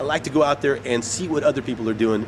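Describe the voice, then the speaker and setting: This man's voice sits fairly high, with ordinary pitch variation. There is noticeable background noise. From Mexican-American community, US Southwest. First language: Spanish. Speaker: actor and poet. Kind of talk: interview. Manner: halting, many fillers and repeats.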